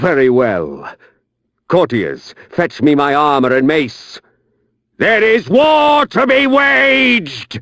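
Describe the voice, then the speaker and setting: A man in a put-on character voice speaks very slowly at a fairly high pitch, his pitch swinging very widely while his loudness stays very even. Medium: solo performance.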